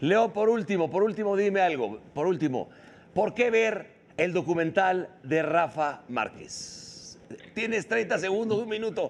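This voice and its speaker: A man's high, animated voice at a fairly slow pace. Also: ordinary pitch variation. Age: 60s. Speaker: sports show host. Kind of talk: casual chat.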